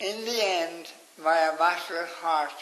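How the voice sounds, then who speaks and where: This man has a Cork accent and a high pitch. His intonation is fairly even, with noticeable background noise behind him. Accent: Irish, Cork. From Ireland. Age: 80s+. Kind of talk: interview answer. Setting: nursing home.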